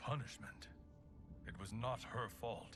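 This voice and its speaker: The speaker uses a put-on character voice at a fairly slow pace. Background noise is clearly audible. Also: man, medium pitch for a man. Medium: video game. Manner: dignified, measured.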